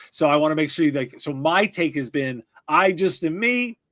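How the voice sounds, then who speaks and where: With an ordinary speaking voice, a man talks at a moderate pace and a fairly high pitch, with ordinary pitch variation, in a very clean recording with a silent background. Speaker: tech podcast host. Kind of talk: interview. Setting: live stream.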